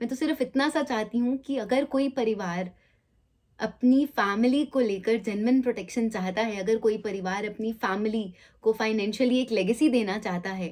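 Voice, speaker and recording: A woman with a plain, everyday voice, fairly high pitch and ordinary pitch variation. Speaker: life insurance awareness advisor, vlogger. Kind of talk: commentary to camera; phone call.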